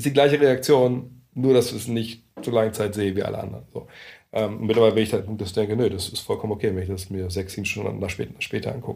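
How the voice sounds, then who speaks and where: A man's fairly low, dark, mellow voice with vocal fry, ordinary pitch variation and a very fast pace. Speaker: basketball journalist. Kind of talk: casual interview. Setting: meeting room in Berlin.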